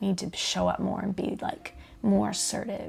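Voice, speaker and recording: Soft-spoken and medium-pitched, a woman talks at a moderate pace against noticeable background noise. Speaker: pastor's wife and podcast guest. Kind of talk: casual chat. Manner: halting.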